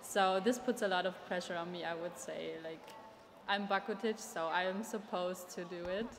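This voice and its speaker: Against noticeable background noise, a woman of medium pitch speaks at a moderate pace with fairly even intonation. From Germany. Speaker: exchange student and co-presenter. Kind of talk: interview testimony.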